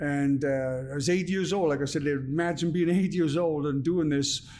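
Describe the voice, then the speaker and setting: With noticeable background noise and audible room echo, a fairly high-pitched man speaks at a moderate pace, his loudness very even and his intonation fairly even. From Wales, Merthyr Tydfil. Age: 40s. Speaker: former boxer and actor. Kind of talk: podcast interview. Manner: halting, many fillers.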